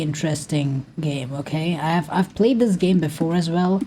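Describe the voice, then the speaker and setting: A woman with a non-native accent speaks at a fairly slow pace in a fairly low pitch. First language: not English. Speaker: gaming youtuber. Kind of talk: casual vent while gaming. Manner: flat, unexpressive; halting.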